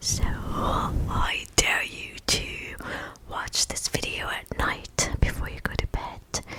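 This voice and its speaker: A woman whispers at a very slow pace, with big swings in loudness. Noticeable background noise runs underneath. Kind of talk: ASMR story reading. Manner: soft-spoken, whispered.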